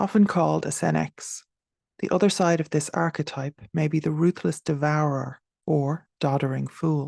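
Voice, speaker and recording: A woman speaks at a moderate pace in a very deep, low pitch, her tone dark, mellow and calm with ordinary pitch variation. The sound is dry and close with no echo, over a quiet background. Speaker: meditation guide. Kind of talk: guided meditation. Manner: calm, measured.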